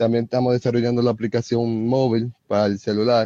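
Dry and close with no echo, a man's dark, mellow voice sits at medium pitch, with monotone, flat intonation at a moderate pace. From Dominican Republic. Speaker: software developer. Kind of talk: live online panel discussion. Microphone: phone mic picking up host's audio.

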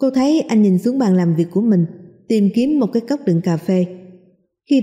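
A natural voice reads aloud with lively intonation. Behind it, the background stays quiet.

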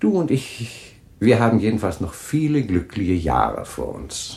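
Using a put-on character voice with vocal fry, a man speaks at a fairly slow pace with very wide pitch swings. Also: fairly low pitch for a man, slightly mellow tone.

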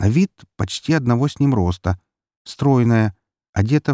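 The background stays quiet. A natural reading voice carries the text.

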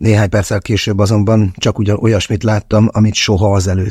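An unforced reading voice comes through in this recording.

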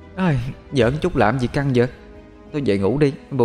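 Reading aloud in a natural voice, the intonation fairly even

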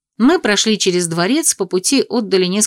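Lively intonation marks this plain reading aloud.

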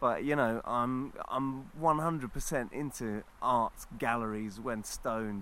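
A man with a London accent on a very clean recording with a silent background. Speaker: visiting guest. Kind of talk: casual chat. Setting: outdoors.

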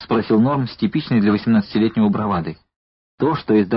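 Someone reads aloud in a natural voice, and the background stays quiet.

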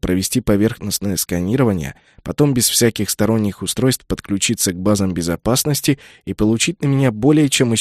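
The speaker reads aloud in a natural voice.

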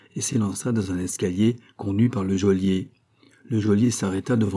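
Someone is reading aloud in a natural voice. The intonation stays fairly even.

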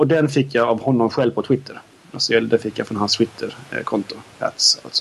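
Background noise is noticeable here. A man does the talking. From southern Sweden (Skåne), parents from Norrbotten. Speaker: podcast co-host. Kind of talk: casual chat.

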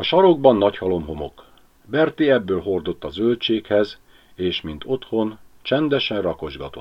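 Intonation here is lively. The voice reads in a natural way.

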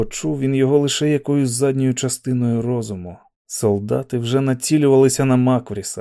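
Fairly even intonation marks a natural reading voice over a quiet background.

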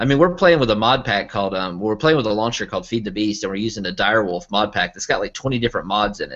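A man talks at a very fast pace with an American accent and hardly any pauses. His fairly low voice has lively intonation. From US South, Arkansas. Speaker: online entertainment producer. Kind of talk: casual chat.

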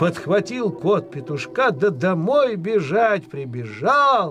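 Over faint music in the background, a man talks at a slow pace in a high pitch with a fairly bright tone and big pitch swings.

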